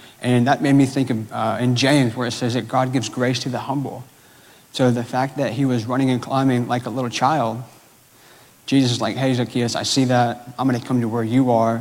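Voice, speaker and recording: A man with an American accent talks at a fairly quick pace in a medium pitch, his intonation monotone and flat. Noticeable background noise and audible room echo fill the recording. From Georgia, US South. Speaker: church staff member preaching. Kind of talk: sermon. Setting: church. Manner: casual, filler-heavy.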